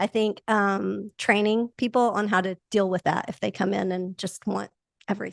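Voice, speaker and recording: A woman speaks with an American accent at a moderate pace and a medium pitch. Her intonation is monotone and flat, in a dry, close sound with no echo. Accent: Oklahoma, mostly faint. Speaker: home builder marketing podcast co-host. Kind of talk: casual podcast discussion.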